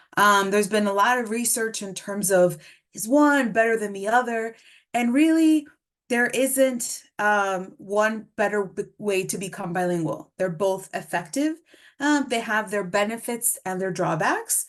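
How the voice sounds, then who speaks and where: The woman's voice is fairly high, with ordinary pitch variation. She speaks at a fairly slow pace in a quiet background. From Mexico City, then US from age nine. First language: Spanish. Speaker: speech-language pathologist presenter. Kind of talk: webinar lecture.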